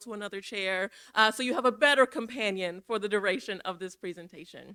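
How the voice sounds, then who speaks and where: A woman talks at a fairly quick pace with an American accent. Her bright, sharp tone carries ordinary pitch variation. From Minnesota, Minneapolis. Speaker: equity and inclusion director, guest speaker. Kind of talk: church forum presentation. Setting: church forum with audience. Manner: fast; casual, interactive.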